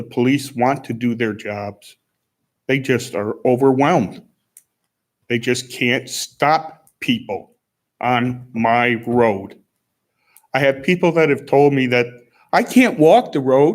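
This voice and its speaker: A man at a medium pitch, with ordinary pitch variation, a very slow pace and long, frequent pauses. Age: 60s. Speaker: resident speaking at public comment. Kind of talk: public comment at town board meeting. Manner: agitated, complaining.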